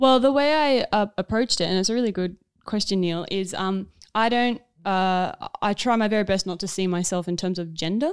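With an Australian accent, a woman speaks at a medium pitch and a fairly quick pace, with ordinary pitch variation. The recording is very clean, the background silent. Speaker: actor and filmmaker. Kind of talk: casual chat. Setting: studio.

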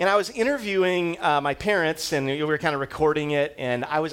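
The voice has a fairly bright tone and lively intonation, moving at a moderate pace. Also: man.

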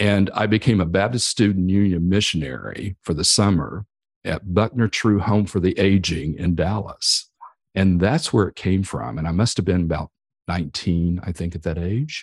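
Here is a Texan accent at a moderate pace. The pitch variation is ordinary. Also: man, very deep, low pitch for a man. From Texas, Amarillo area. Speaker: podcast host. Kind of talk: casual chat.

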